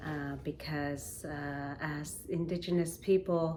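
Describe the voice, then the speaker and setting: In a room with audible echo, a woman speaks very slowly in a very deep, low pitch, her tone dark and mellow and her intonation monotone and flat. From Nunavik, northern Quebec. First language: Inuktitut. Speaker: singer. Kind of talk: spoken introduction to performance. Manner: halting, many fillers.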